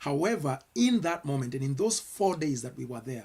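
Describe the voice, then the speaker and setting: A man with a Kenyan accent speaks in a somewhat breathy voice. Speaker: pastor. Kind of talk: sermon-style commentary. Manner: earnest, with repetitions and hesitations.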